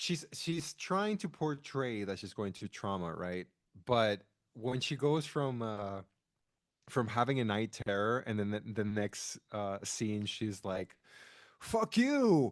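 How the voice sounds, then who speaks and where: Over a quiet background, a man with a non-native accent speaks at a very slow pace with ordinary pitch variation. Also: medium pitch for a man. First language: not English. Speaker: podcast co-host. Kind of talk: casual chat. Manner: animated.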